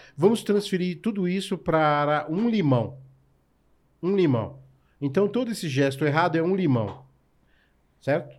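Pausing long and often, a man speaks fairly slowly in a high voice with lively intonation. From São Paulo, Brazil. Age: 40s. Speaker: chef. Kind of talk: casual interview chat.

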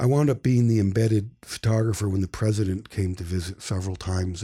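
A man speaks with a dark, mellow, somewhat breathy tone at a fairly low pitch and a moderate pace. His pitch varies ordinarily, on a very clean recording with a silent background. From upstate New York. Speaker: photojournalist. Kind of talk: interview.

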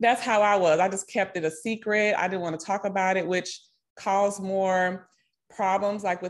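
Against a quiet background, a woman with a Southern US accent speaks at a medium pitch and a moderate pace. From Nashville, Tennessee. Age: 30s. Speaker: financial coach and yoga teacher. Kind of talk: interview.

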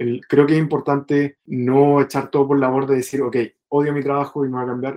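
A man's fairly high voice in a dark, mellow tone, monotone and flat, at a fairly quick pace. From Chile. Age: 20s. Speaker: bootcamp student. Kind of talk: interview. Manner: halting.

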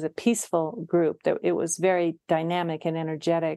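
The voice has a dark, mellow tone and a Western US accent. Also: woman. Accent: General American, western US. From Utah. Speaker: mediator and Zen teacher. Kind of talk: interview.

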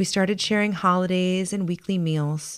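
At a fairly quick pace, a woman with an American accent speaks in a medium pitch with ordinary pitch variation, a plain, everyday voice, on a very clean recording with a silent background. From US, Baltimore. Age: 40s. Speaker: podcast host. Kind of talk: scripted narration.

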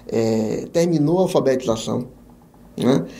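With audible room echo, a man speaks in a dark, mellow tone and lively intonation. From Bahia, Brazil (Jequié). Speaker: business support consultant and author. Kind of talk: podcast interview.

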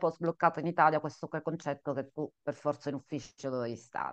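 Against a quiet background, the voice sounds dry and close, with no echo. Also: woman. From Sicily, Italy. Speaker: consultant, coach and podcast co-host. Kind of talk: casual interview answers. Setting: video call from office.

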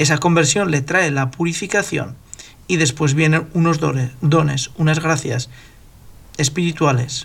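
Somewhat breathy and fairly high in pitch, a man speaks at a fairly slow pace with ordinary pitch variation, very even loudness, and long, frequent pauses. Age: 50s. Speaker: podcast host. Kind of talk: religious discussion.

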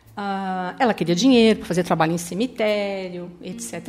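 At a fairly quick pace, a woman talks in a medium pitch with a plain, everyday voice. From Paraná interior, then São Paulo state from age 10. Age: 50s. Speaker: church youth coordinator. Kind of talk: testimony.

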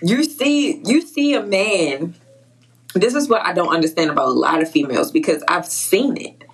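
Through noticeable background noise, a woman speaks at a moderate pace with very wide pitch swings. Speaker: podcast host. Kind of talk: casual chat.

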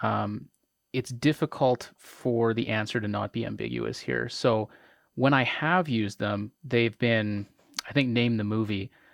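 A man with a Canadian accent, an ordinary speaking voice, moderate pace. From Canada. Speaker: trivia host. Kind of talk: casual chat.

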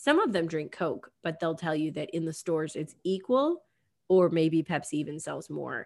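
Over a very clean recording with a silent background, a woman with a normal speaking voice talks at a moderate pace and fairly low pitch, with ordinary pitch variation. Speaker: podcast host. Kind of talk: casual chat.

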